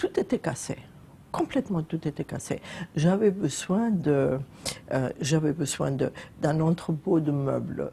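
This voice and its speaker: At a very slow pace, the voice carries vocal fry, a dark, mellow tone and lively intonation. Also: woman. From Germany, Zweibrücken (western Germany). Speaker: building owner. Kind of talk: casual chat. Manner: halting.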